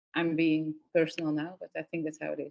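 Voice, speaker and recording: A woman speaks at a moderate pace. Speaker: workshop facilitator. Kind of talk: workshop feedback.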